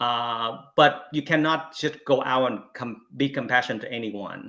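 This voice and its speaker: Bright and sharp in tone, this voice carries a Vietnamese accent, moving at a moderate pace with ordinary pitch variation. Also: man. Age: 50s. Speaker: Buddhist panelist. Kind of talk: panel talk. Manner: halting, many fillers.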